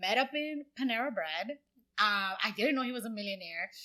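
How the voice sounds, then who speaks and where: A woman with a Dominican accent, a fairly high pitch, a bright, sharp tone, lively intonation and a moderate pace. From Dominican Republic, moved to US at eight. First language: Spanish. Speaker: brand designer and entrepreneur. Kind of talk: podcast interview, casual chat. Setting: in-person studio.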